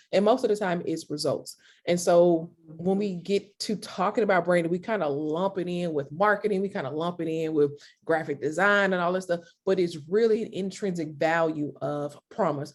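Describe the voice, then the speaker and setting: At a moderate pace, a woman with a slight country accent speaks in a fairly low pitch with ordinary pitch variation. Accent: slight country twang. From US South, Mississippi. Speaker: creative consultant, entrepreneur. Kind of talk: interview.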